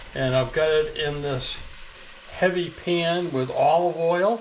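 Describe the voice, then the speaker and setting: A man with a high voice speaks with ordinary pitch variation, with noticeable background noise and audible room echo. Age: 70s. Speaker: home cooking channel host. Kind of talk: cooking tutorial. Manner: casual, relaxed with fillers.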